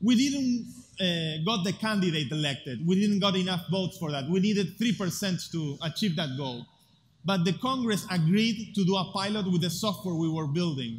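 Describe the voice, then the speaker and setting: In an Argentine accent, a man with a high pitch speaks at a moderate pace with lively intonation, and audible room echo can be heard. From Buenos Aires, Argentina. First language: Spanish. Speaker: tech activist speaker. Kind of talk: conference talk.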